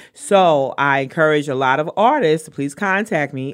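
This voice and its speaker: In a very clean recording with a silent background, a woman with a Brooklyn accent speaks at a very deep, low pitch with lively intonation. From New York, Brooklyn. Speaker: artist promoter. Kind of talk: casual chat. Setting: studio.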